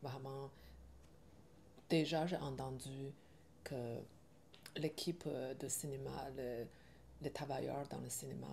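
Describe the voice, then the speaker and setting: With a Chinese accent, a woman speaks in a very deep, low pitch, her tone dark and mellow and marked by vocal fry. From China. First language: Chinese (speaking French). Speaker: film director. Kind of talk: interview. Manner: halting, with many hesitations.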